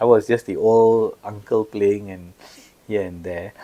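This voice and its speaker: This man's fairly low voice has a dark, mellow tone. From Singapore. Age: 60s. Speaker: senior law partner. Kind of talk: podcast interview.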